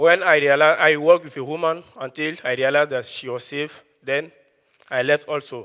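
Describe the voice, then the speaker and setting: With a West African accent, a man with a fairly high pitch and a bright, sharp tone speaks at a moderate pace, with fairly even intonation and big swings in loudness. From Ivory Coast. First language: Dioula. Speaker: student speaker. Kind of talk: prepared talk.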